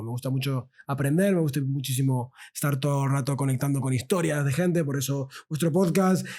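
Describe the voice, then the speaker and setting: A normal speaking voice, this man talks at a fairly quick pace with a fairly high pitch and ordinary pitch variation. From Argentina. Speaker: sociologist and podcaster. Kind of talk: casual interview chat.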